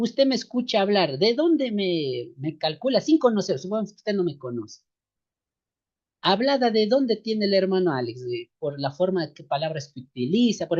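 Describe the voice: A man talks at a high pitch with very wide pitch swings. His loudness rises and falls in big swings. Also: moderate pace.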